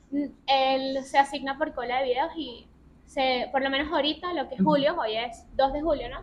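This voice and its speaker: Her intonation stays fairly even. This woman has a high pitch. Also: moderate pace. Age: 20s. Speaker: journalist and food content creator. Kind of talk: interview.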